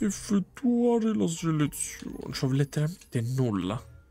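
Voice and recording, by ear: A man with a fairly high pitch speaks at a slow pace. His tone is dark and mellow, and his pitch swings widely.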